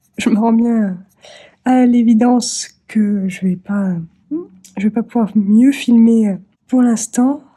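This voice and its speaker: Speaking at a very slow pace, a woman with a fairly high pitch, a dark, mellow tone and a somewhat breathy quality keeps her intonation fairly even. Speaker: craft vlogger. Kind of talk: casual vlog talk. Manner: halting, many hesitations.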